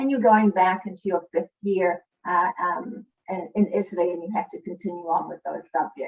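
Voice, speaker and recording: Here a woman speaks at a fairly quick pace. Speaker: school district international program coordinator. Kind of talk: online presentation. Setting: online video presentation. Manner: fast; hesitant, many fillers.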